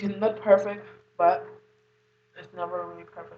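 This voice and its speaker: There is audible room echo as a woman speaks. Her pace is moderate. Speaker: beauty vlogger. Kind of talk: makeup tutorial. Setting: at home. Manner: casual.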